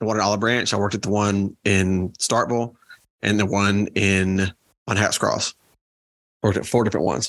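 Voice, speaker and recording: A man with a Southern US accent speaks at a fairly low pitch in a flat monotone. Long, frequent pauses break up his speech. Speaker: podcast co-host. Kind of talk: casual chat.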